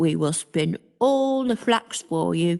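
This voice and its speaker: A put-on character voice at a fairly slow pace, dry and close with no echo. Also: woman. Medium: read story.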